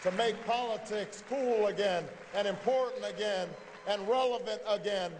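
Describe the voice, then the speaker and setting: With an American accent, a man speaks at a fairly slow pace with fairly even intonation over noticeable background noise. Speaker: politician. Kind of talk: political campaign speech. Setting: live event hall with audience. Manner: rising with indignation and scorn.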